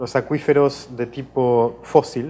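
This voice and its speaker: A man speaks with a slight Portuguese accent and a dark, mellow tone. His medium pitch holds a fairly even intonation. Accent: Spanish tinged with Portuguese. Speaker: professor, water law researcher. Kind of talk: interview. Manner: hesitant, many fillers.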